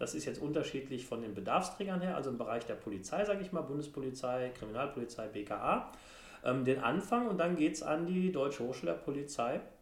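A man talks at a fairly quick pace with a fairly high pitch and very wide pitch swings. Audible room echo and noticeable background noise are present. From Germany, Sauerland (Brilon). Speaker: member of parliament, former law professor. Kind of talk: casual interview. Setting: parliament building office.

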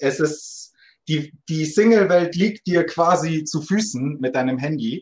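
This man talks at a very slow pace. His pitch variation is ordinary. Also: fairly high pitch for a man. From Munich, Germany. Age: 20s. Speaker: dating podcast guest. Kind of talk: casual interview.

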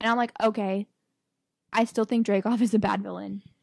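A woman with a plain, everyday voice speaks at a fairly high pitch with fairly even intonation, captured dry and close with no echo on a very clean recording with a silent background. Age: 20s. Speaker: podcast co-host. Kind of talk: casual chat.

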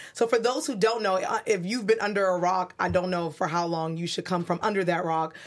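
The speaker talks in a New York accent at a fairly quick pace with hardly any pauses. The tone is animated. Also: woman, medium pitch for a woman, ordinary pitch variation. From New York City (Brooklyn). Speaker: online show host. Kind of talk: interview. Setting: studio.

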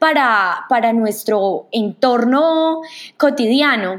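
A woman speaks with ordinary pitch variation. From Colombia, Manizales. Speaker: podcast host. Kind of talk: podcast introduction monologue. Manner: hesitant, many fillers.

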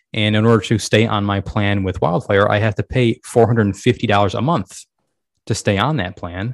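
A man has a plain, everyday voice, pitched fairly low, with fairly even intonation. He speaks at a moderate pace against a quiet background. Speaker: podcast co-host. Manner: easygoing, joking.

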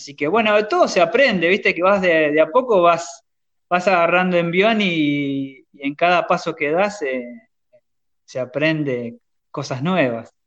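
A man's high voice at a fairly slow pace. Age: 30s. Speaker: podcast host, hobby woodworker. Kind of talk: casual chat.

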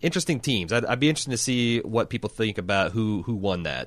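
Fairly quick speech from a man in a medium pitch. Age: 40s. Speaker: podcast host. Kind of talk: casual chat. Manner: halting, frequent false starts.

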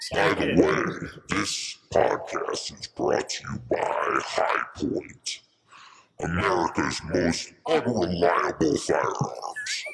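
A raspy, put-on character voice drags along at a very slow pace. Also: man. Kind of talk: podcast sponsor-ad announcer. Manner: cool, deadpan ad read.

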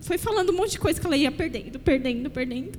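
The speaker has an animated, warm tone over noticeable background noise. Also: woman. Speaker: preacher. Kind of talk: sermon in church, exhorting the congregation, with prayer and calls for amen. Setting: church. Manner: builds repetitive, rhythmic phrasing with emphatic pauses before calls for amen.

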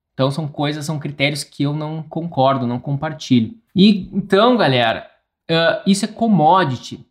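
With lively intonation and a fairly high pitch, a man speaks at a fairly slow pace. He has an unremarkable speaking voice. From interior of Rio Grande do Sul, Brazil. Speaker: architect and podcast host. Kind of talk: solo educational podcast monologue. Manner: informal, frequent fillers and restarts.

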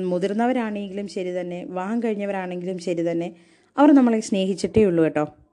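This woman's voice has a medium pitch and a dark, mellow tone. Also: ordinary pitch variation. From southern Kerala, Kollam district. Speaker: college teacher. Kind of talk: personal storytelling monologue. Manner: conversational.

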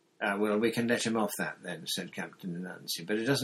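The reader uses a natural reading voice.

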